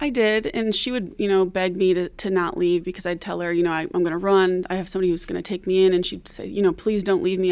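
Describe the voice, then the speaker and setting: A woman speaks at a very fast pace. She has an American accent. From Detroit, Michigan. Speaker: forensic nurse. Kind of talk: radio interview.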